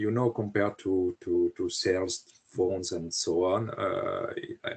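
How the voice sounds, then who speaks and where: A man speaks in a French accent. His pace is fairly slow. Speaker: historian and author. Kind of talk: interview. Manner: halting, many hesitations.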